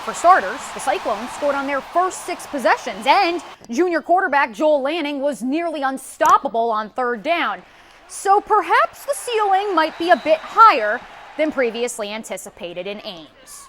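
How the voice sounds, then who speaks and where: A woman's high voice rises and falls in very wide pitch swings, with big swings in loudness and noticeable background noise behind her. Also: moderate pace. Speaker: sports anchor / TV host. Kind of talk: TV sports news anchor read.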